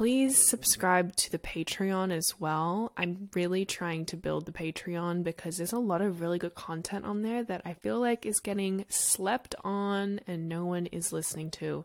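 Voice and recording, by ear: A woman with an Australian accent at a moderate pace, with hardly any pauses. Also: medium pitch for a woman, ordinary pitch variation.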